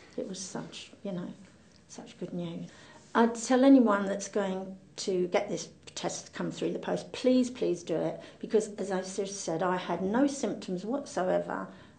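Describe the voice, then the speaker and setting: Vocal fry from a woman at medium pitch, moderate pace, with audible room echo. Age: 70s. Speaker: cancer patient. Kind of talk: testimony.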